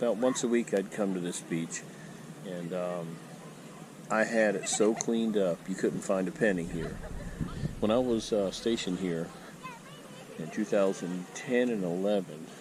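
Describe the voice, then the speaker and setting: Over noticeable background noise, a man with an American accent speaks at fairly low pitch with ordinary variation and long, frequent pauses. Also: moderate pace. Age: 60s. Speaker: retired military, metal detecting vlogger. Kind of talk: casual vlog monologue. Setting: outdoors on a beach. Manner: hesitant, many fillers.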